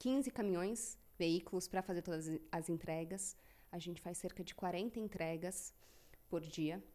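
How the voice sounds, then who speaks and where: Her tone is dark and mellow, with ordinary pitch variation. The woman speaks at a fairly slow pace. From Brazil, São Paulo. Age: 30s. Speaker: company CEO. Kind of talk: interview.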